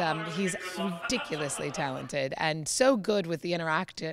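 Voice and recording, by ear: Clear music sits in the background. Over it, a woman speaks at a low pitch.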